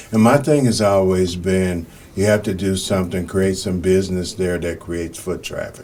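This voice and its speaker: Against noticeable background noise, a man with a very deep, low pitch speaks with fairly even intonation. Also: moderate pace. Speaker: podcast host, newspaper publisher. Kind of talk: podcast interview questions.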